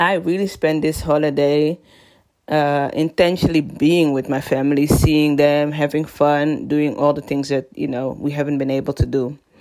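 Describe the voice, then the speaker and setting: Her voice very deep and low with a dark, mellow tone, a woman speaks at a fairly slow pace. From Netherlands, Amsterdam. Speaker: business coach and podcast host. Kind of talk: solo podcast talk. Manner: casual and conversational.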